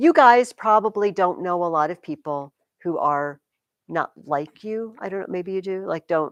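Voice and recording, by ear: With a quiet background, the clip features reading aloud in a natural voice.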